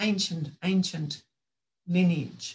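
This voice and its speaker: Her pitch fairly low, a woman speaks in an Australian accent with ordinary pitch variation. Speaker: author and women's spirituality teacher; women's spirituality teacher. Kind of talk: presentation to online roundtable. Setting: video call. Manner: calm. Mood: calm, earnest. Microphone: video call.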